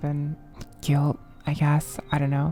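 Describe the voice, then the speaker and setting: Over music in the background, a woman speaks at a fairly slow pace with a very deep, low pitch. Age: 20s. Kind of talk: personal ramble to camera. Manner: hesitant, halting.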